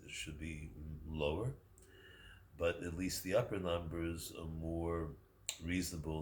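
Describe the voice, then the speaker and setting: A man with a very deep, low pitch speaks in a somewhat breathy voice. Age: 70s. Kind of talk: casual talk to camera.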